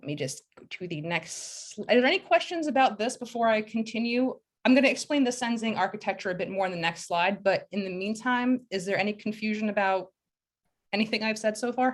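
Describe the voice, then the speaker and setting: Talking at a fairly quick pace, a woman with a plain, everyday voice and a fairly high pitch uses lively intonation. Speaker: presenter. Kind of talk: presentation.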